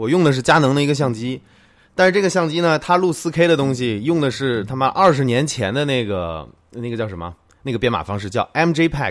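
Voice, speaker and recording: At a fairly quick pace, the speaker's pitch swings very widely on a very clean recording with a silent background. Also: man, medium pitch for a man. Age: 30s. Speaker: tech video creator. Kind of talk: live stream chat. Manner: casual, chatty.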